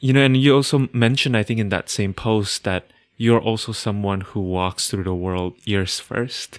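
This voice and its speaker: With a non-native accent, a man speaks at a moderate pace in a fairly low pitch with ordinary pitch variation, the sound dry and close with no echo. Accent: foreign-accented English. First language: not English. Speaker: podcast host and astrologer. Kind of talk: casual conversation.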